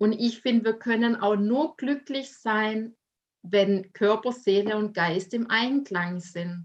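Very slow speech from a woman, fairly high in pitch, with ordinary pitch variation. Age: 30s. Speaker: life coach and author. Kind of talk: personal testimony in interview.

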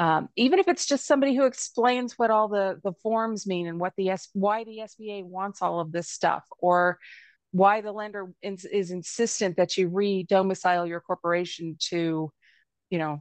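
With an American accent, a woman talks at a moderate pace in an unremarkable speaking voice, at a medium pitch with ordinary pitch variation. The sound is dry and close with no echo, over a quiet background. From Alabama, US South. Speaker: business attorney. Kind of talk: interview.

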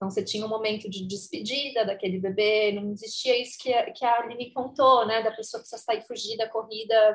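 A woman's unremarkable speaking voice, fairly high-pitched and fairly even in intonation, at a fairly quick pace with hardly any pauses and big swings in loudness. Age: 30s. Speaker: adoption doula and educator. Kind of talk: casual interview chat.

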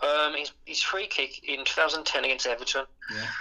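With noticeable noise in the background, a man's fairly high voice comes through. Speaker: football fan. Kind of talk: casual chat. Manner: fast.

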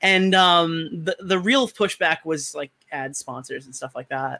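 A man's bright, sharp voice shows ordinary pitch variation, recorded dry and close with no echo. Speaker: caller, video maker. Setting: call, three in the morning.

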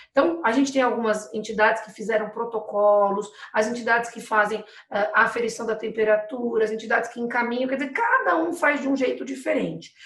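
The speech comes at a moderate pace with noticeable background noise. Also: woman. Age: 40s. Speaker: municipal economic development secretary. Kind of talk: live webinar interview. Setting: video call live stream.

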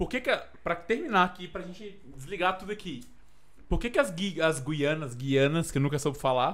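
A man with a high-pitched voice speaks at a moderate pace, his intonation lively. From Minas Gerais, Brazil (Frutal, near Uberaba). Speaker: podcast guest, friend of host. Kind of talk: casual chat.

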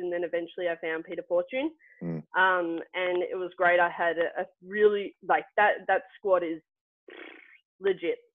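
A medium-pitched woman with an Australian accent, at a moderate pace. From Australia, Melbourne. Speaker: former athlete, bobsledder. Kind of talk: casual interview. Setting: remote call.

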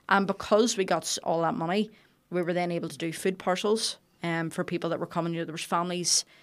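A woman with a Belfast accent, fairly low pitch and fairly even intonation at a very fast pace, on a very clean recording with a silent background. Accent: Belfast Northern Irish. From Northern Ireland, Belfast. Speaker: chef and restaurant owner. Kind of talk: interview conversation.

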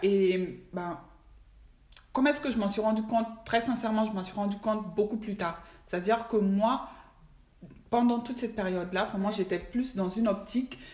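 Long pauses come often in this moderately paced speech, whose pitch varies in an ordinary way. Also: woman, fairly high pitch for a woman. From Mali. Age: 20s. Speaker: finance professional. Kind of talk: casual chat.

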